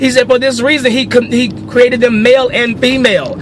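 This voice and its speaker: An animated man's voice, extremely high in pitch and fairly quick, over noticeable background noise. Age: 40s. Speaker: social commentary video blogger. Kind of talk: opinion rant. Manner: fast.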